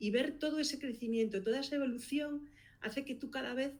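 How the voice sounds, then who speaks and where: A woman speaks with a Galician accent. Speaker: podcast producer and consultant. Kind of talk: interview.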